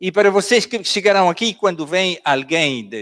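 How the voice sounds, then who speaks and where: A man with a non-native accent, lively intonation and a moderate pace, in a very clean recording with a silent background and a dry, close sound with no echo. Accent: Angolan Portuguese, non-native. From Switzerland, Basel. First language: Swiss German (speaking Portuguese). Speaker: pastor. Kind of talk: sermon.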